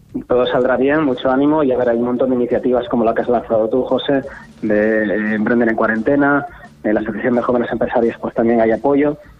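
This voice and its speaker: Over noticeable background noise, a man at medium pitch speaks very fast with fairly even intonation and very even loudness. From Asturias, Spain. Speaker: startup founder. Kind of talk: radio interview.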